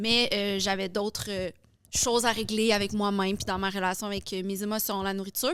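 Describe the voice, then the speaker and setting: On a very clean recording with a silent background, a woman with a medium pitch speaks at a fairly quick pace in a monotone, flat intonation. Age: 30s. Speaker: fitness influencer and coach. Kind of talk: podcast interview. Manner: casual, many fillers.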